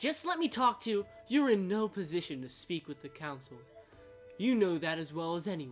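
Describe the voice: This is plain reading aloud, carried by lively intonation.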